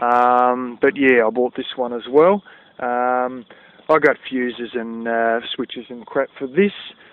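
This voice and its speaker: A man with an Australian accent speaks at a fairly slow pace with ordinary pitch variation and big swings in loudness, in a dry sound with no echo. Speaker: DIY video maker. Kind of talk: casual vlog tutorial. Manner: animated. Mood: frank, somewhat annoyed. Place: open country. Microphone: phone near.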